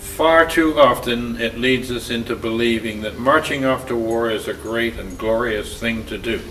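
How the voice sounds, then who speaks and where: Lively intonation from a man against noticeable background noise. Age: 80s+. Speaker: war veteran. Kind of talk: reading aloud.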